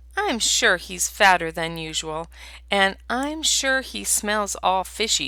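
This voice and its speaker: A female-sounding voice puts on a character voice with hissing, speaking at a fairly slow pace. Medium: read story. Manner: hissing, indignant.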